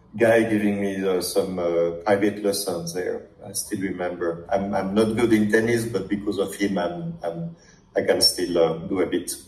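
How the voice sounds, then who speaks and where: Fairly low male voice at a moderate pace, with audible room echo. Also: ordinary pitch variation. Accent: strong French. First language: French. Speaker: startup founder, prospective client. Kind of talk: sales discovery call. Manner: halting, many fillers.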